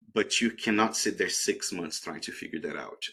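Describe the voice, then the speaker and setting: Fairly low in pitch, a man with a non-native accent talks at a fairly quick pace in a bright, sharp tone. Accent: foreign. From outside the US, immigrant. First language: not English. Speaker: tech sales professional, alum. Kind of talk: career advice talk in online webinar. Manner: conversational, with fillers.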